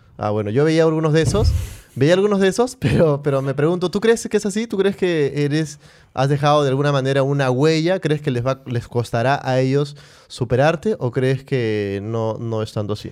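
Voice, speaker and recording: A man with a fairly high pitch talks at a moderate pace in a normal speaking voice with lively intonation. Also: very clean recording, silent background. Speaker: podcast host. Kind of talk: casual chat.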